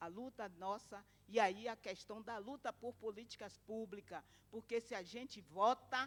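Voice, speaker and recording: A woman talks at a fairly slow pace and fairly high pitch in a normal speaking voice. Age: 60s. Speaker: domestic workers' union activist. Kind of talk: conference talk.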